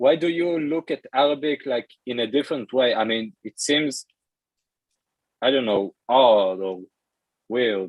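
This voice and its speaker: A man's medium-pitched voice with an Israeli accent, ordinary pitch variation, a fairly slow pace and long, frequent pauses. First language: Hebrew. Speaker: language learner. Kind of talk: casual chat. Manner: halting.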